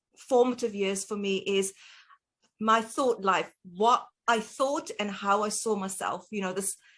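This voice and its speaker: A woman talks with a South African accent and fairly even intonation. The background is quiet. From South Africa, Cape Town. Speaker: dietitian. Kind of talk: interview.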